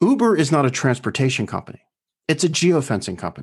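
A man talks at a fairly quick pace with very wide pitch swings over a quiet background. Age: 50s. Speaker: founder of a private towns project and podcast host. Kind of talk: interview conversation.

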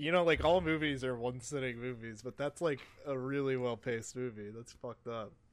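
This is a normal speaking voice with an American accent. It moves at a fairly quick pace with ordinary pitch variation. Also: man. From US East Coast, southern part. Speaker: gaming podcast co-host. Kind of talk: casual chat.

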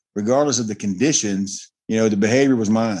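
A man with a plain, everyday voice talks at a fairly quick pace, his fairly low pitch held in fairly even intonation. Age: 50s. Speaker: recovering alcoholic sharing his story. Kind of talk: interview testimony.

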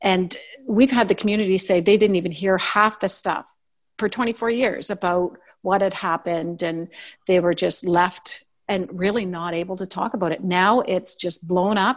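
This woman has an ordinary speaking voice, medium in pitch, with a Canadian accent, a moderate pace and fairly even intonation. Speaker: podcaster. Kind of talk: casual interview.

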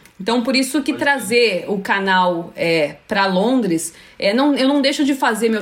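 A woman in a São Paulo accent, fairly high-pitched, moderate in pace, with very wide pitch swings. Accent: Brazilian Portuguese, São Paulo. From São Paulo, Brazil (Freguesia do Ó). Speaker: YouTuber. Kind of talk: casual chat.

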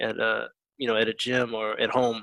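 A man speaks with an American accent at medium pitch. His intonation is monotone and flat, and the sound is dry and close with no echo. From Virginia, US. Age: 30s. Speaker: powerlifter and army veteran. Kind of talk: casual interview. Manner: many fillers and repetitions.

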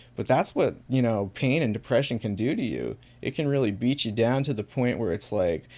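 On a very clean recording with a silent background, a man with an American accent speaks fairly quickly at a medium pitch in a dark, mellow tone with ordinary pitch variation. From US Northeast, small town. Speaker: chronic pain sufferer sharing his story. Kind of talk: casual interview.

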